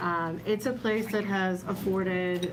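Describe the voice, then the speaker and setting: A woman's fairly low, fairly even voice, with audible room echo and noticeable background noise. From Miami, Florida. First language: Spanish. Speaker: newspaper publisher. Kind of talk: roundtable discussion. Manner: hesitant, many fillers.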